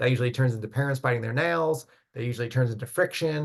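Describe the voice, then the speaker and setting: Somewhat breathy, a man speaks at medium pitch with fairly even intonation. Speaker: college admissions counselor. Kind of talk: online info session. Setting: video call. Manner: fast.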